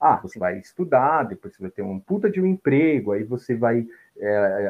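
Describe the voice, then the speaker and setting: Using a plain, everyday voice, a man speaks at medium pitch and a moderate pace. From Brazil, São Paulo. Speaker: photographer and psychology student. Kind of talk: casual chat.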